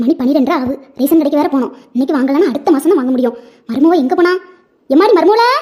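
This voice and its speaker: A woman puts on a cartoonish character voice, high-pitched with lively intonation, at a very fast pace. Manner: brisk, bossy.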